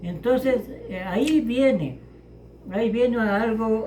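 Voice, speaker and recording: A man with a high-pitched voice. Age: 80s+. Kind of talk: interview answer.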